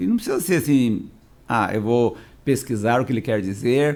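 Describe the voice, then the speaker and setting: At a moderate pace, this dark, mellow tone carries ordinary pitch variation. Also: man. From Paraná, southern Brazil (Londrina area). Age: 60s. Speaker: pastor. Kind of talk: podcast interview.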